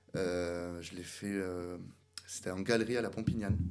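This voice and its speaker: With audible room echo, a man speaks at a fairly slow pace and with fairly even intonation. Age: 20s. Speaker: barber and salon owner. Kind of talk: interview. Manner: hesitant, many fillers.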